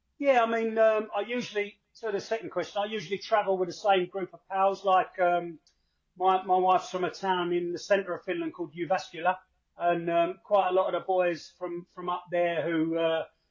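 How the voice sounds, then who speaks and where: A man with a high voice talks at a moderate pace, his intonation fairly even. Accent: Cockney. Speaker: football fan, podcast contributor. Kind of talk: podcast interview. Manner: hesitant, many fillers.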